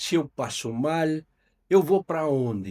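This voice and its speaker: A man with a Uruguayan accent speaks at a fairly slow pace in a high voice, his pitch swinging very widely, with a dry, close sound and no echo. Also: very clean recording, silent background. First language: Spanish (speaking Portuguese). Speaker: company executive. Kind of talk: podcast interview. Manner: halting, many fillers.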